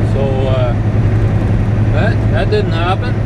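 Loud background noise surrounds a man's voice. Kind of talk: casual vlog chat. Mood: mildly frustrated about unloading. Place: car. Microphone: camera far.

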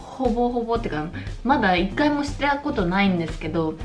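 A woman talks at a moderate speed while clear music runs underneath. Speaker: home drinking vlogger. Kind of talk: casual vlog chat. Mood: cheerful, relaxed. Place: home room. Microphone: phone near.

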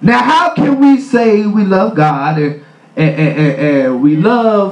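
The delivery is very slow. Echo from the room can be heard. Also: man. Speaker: preacher. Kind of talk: sermon. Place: church. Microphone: camera far.

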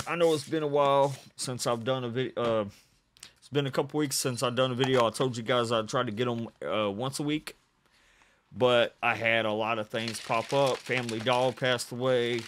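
A man talks at a moderate pace while light noise runs in the background. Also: fairly even intonation. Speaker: reaction video host. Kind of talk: casual vlog chat. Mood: relaxed, a bit subdued.

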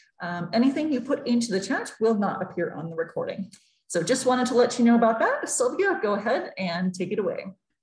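A woman talks very fast at a fairly high pitch, her voice swinging very widely up and down. Room echo is audible. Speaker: library program moderator. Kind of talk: Q&A moderation. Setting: video call. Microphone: video call.

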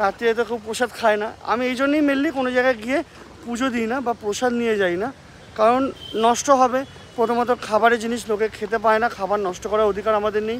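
A man's voice at an extremely high pitch, with fairly even intonation over light background noise. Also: dry sound with no echo. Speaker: travel vlogger. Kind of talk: casual vlog chat. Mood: cheerful, satisfied. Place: street. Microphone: phone near.

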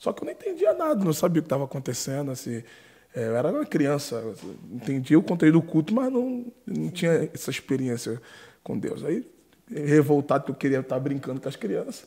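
Speaking at a fairly quick pace, a man with a Brazilian accent uses lively intonation in a dark, mellow, somewhat breathy voice of fairly high pitch, with a quiet background. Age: 20s. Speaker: podcast co-host and preacher. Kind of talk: casual interview. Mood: warm, reminiscing. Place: studio. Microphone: studio mic.

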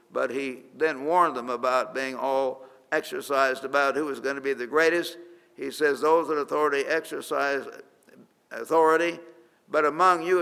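In a quiet background, a man with a fairly high pitch and a bright, sharp tone speaks at a moderate pace with fairly even intonation. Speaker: pastor. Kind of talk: sermon. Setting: church. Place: studio. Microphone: studio mic.

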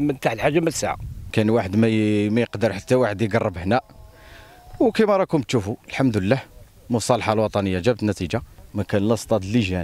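With a dry sound and no echo, a man speaks at a fairly low pitch, with ordinary pitch variation and very even loudness. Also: fairly quick pace. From Algeria. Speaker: local resident. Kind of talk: interview. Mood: earnest complaint. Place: open country. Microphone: handheld.

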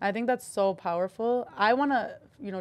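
A woman talks at a fairly quick pace in a plain, everyday voice with ordinary pitch variation. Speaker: podcast host. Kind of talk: podcast interview, casual. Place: studio. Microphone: studio mic.

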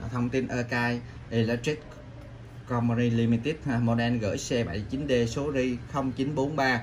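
This man speaks at a medium pitch with fairly even intonation. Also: moderate pace.

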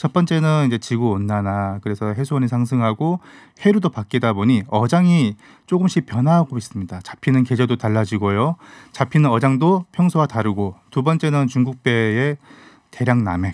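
A man at a moderate pace with lively intonation, a dry sound with no echo and a quiet background. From South Korea. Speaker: fish columnist and YouTuber. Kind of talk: radio interview, casual expert talk. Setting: radio studio. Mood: calm, informative. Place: studio. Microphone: studio mic.

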